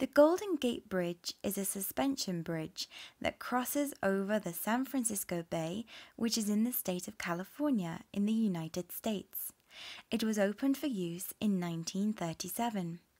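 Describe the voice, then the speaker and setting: In a British accent, a woman speaks at a medium pitch with lively intonation. The recording is very clean, with a silent background. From England. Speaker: English teacher. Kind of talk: listening comprehension reading for learners. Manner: slow, clear.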